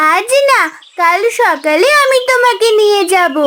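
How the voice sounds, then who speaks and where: This is a cartoonish character voice at an extremely high pitch. It moves at a fairly slow pace. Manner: earnest, concerned.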